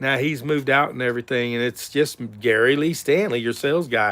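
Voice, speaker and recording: With a Southern US accent, a man talks at a moderate pace and uses ordinary pitch variation. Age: 60s. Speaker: realtor and sales vlogger. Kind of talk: casual livestream vlog. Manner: chatty, informal.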